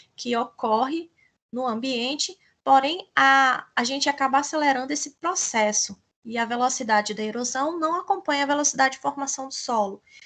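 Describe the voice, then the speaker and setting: With a Brazilian accent, a woman speaks in a high, bright, sharp voice at a moderate pace with ordinary pitch variation over a quiet background. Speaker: teacher. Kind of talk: lecture.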